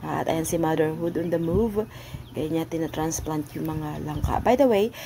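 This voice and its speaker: Noticeable background noise runs behind the recording. A woman with a fairly low pitch talks at a moderate pace with ordinary pitch variation. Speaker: vlogger. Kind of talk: casual voice-over narration.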